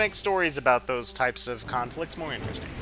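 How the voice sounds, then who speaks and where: In a Texan accent, a man speaks with very wide pitch swings. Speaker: video game player. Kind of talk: casual gameplay commentary.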